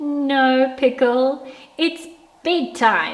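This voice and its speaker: High in pitch, a woman puts on a character voice. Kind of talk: bedtime story. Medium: read story. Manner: warm, gentle.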